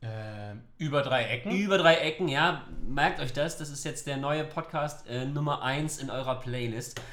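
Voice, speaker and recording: Audible room echo surrounds a man's voice. His fairly high pitch shows ordinary pitch variation. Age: 30s. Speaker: youth work officer, podcast co-host. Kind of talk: podcast intro, semi-scripted.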